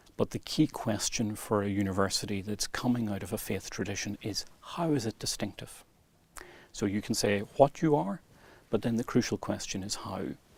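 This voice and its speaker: Here a man talks at a fairly quick pace with an Irish accent. His pitch sits fairly low. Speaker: university vice-chancellor. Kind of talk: interview. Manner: fluent, measured.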